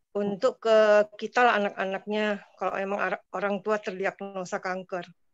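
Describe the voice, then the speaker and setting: A normal speaking voice talks at a moderate pace. The background is quiet and the sound dry with no echo. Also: woman. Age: 50s. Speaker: participant. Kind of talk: question and answer. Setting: video call. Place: home room. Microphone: video call.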